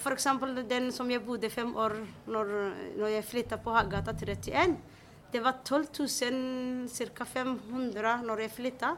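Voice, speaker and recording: A woman with a Somali accent speaks at a very slow pace with long, frequent pauses. Her pitch is high and her intonation fairly even. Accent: Somali-accented Norwegian. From Somalia. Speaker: tenant telling her story. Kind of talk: interview testimony. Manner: halting.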